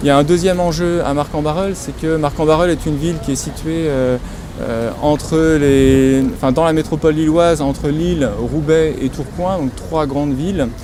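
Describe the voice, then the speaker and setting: Against noticeable background noise, a man with a fairly high pitch speaks at a moderate pace and with fairly even intonation. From northern France (Nord-Pas-de-Calais). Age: 40s. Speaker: local election candidate. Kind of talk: campaign interview statement. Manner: hesitant, many fillers.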